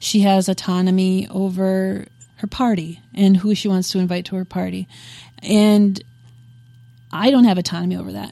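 A woman of medium pitch speaks at a moderate pace in a dark, mellow tone, with fairly even intonation and long, frequent pauses. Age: 30s. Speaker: podcast co-host. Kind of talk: casual chat.

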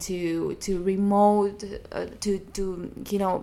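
Speaking with a Greek accent, a woman uses a medium pitch. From Greece. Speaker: comedian. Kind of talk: interview.

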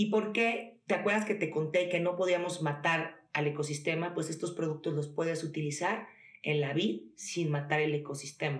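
With very even loudness and ordinary pitch variation, a woman speaks at a moderate pace in a very deep, low voice, with audible room echo. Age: 30s. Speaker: entrepreneur, skincare brand founder. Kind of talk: casual interview.

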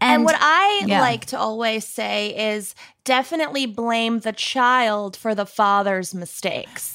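Against noticeable background noise, a woman with a Minnesotan accent talks at a fairly slow pace, her fairly high pitch varying in an ordinary way. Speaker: podcast guest, true crime podcast co-host.

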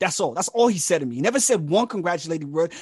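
A man speaks with a London accent and lively intonation. The sound is dry and close with no echo. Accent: British (London) English. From England, with childhood in Nigeria and California. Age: 30s. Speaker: artist and mental health researcher. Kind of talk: podcast interview.

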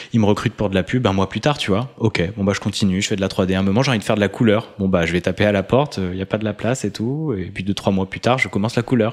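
A man speaks very fast at a fairly low pitch, with hardly any pauses. His pitch variation is ordinary. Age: 30s. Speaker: coach and podcaster. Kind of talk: casual chat.

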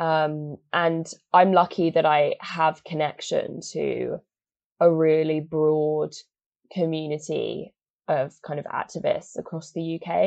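In a southern English accent, a woman speaks at a very slow pace with a very deep, low pitch and monotone, flat intonation. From England, Oxford. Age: 20s. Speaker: climate activist and photographer. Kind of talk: casual interview.

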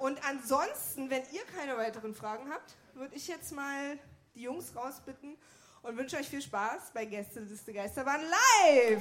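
A woman speaks at a moderate pace in a high pitch with ordinary pitch variation and big swings in loudness, over noticeable background noise. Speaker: show announcer. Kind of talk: live announcement. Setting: stage with audience.

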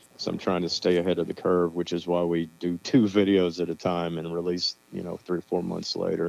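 Over music in the background, a man with a very deep, low pitch speaks monotone and flat at a fairly quick pace. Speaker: band guitarist and songwriter. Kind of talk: casual radio interview, phone call. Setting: phone call. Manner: laid back, modest, self-deprecating.

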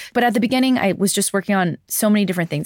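Her pitch varying an ordinary amount, a woman is heard dry and close with no echo on a very clean recording with a silent background. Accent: New York. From US, New York City. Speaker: climate advocate and journalist. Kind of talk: interview conversation. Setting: studio, in person in London.

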